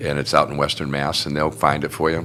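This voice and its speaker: Speaking at a very fast pace, a man with a very deep, low pitch keeps his intonation fairly even over noticeable background noise. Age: 70s. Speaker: union and community activist, son of a WWII veteran. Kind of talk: casual interview. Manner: halting, many fillers.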